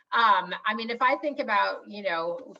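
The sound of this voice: At a moderate pace, a woman speaks at a medium pitch with a bright, sharp tone and ordinary pitch variation.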